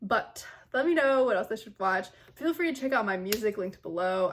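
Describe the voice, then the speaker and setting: Pitch rises and falls very widely in this woman's voice. She keeps a fairly quick speed. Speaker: singer and reaction youtuber. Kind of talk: casual reaction video commentary. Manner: fast.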